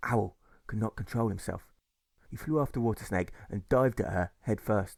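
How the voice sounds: With vocal fry and a slightly mellow tone, a man talks at a moderate pace in a fairly low pitch with ordinary pitch variation.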